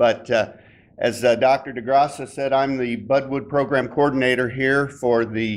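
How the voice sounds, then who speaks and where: Against a quiet background, a man talks at a medium pitch. His intonation is monotone and flat, and his pace fairly slow. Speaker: citrus program coordinator. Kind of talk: presentation at industry meeting. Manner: loud.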